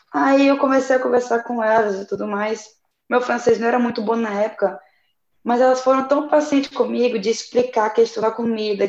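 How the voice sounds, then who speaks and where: Fairly high in pitch, a woman has an unremarkable speaking voice. She talks at a fairly quick pace with fairly even intonation. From Brazil, Tocantins (Araguaína). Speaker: young missionary volunteer. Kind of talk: casual chat, sharing experiences.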